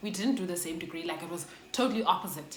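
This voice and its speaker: A woman with a South African accent and lively intonation, amid audible room echo and noticeable background noise. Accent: South African English, Xhosa. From South Africa, Xhosa. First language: Xhosa. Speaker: YouTuber. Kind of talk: storytime. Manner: casual, code-switching.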